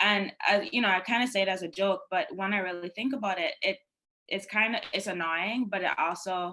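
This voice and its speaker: A woman speaks with a Guyanese accent and a bright, sharp tone. She talks at a fairly quick pace with ordinary pitch variation. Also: medium pitch for a woman. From Guyana. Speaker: panelist, law clerk. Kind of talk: panel discussion. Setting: virtual summit. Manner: casual, many fillers.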